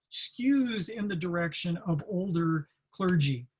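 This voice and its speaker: A man speaks with an American accent. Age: 60s. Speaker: military chaplain leader. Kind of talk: staff college presentation. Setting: online training session. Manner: conversational with frequent fillers and restarts.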